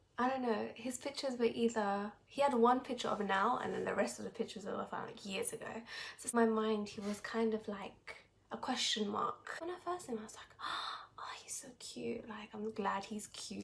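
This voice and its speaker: Speaking in a British accent, a woman has a fairly high pitch, ordinary pitch variation, and big swings in loudness. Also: moderate pace. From Britain. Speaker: vlogger in international couple. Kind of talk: casual chat.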